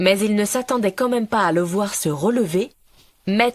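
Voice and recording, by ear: The passage is read aloud in a natural voice, with pitch varying in an ordinary way.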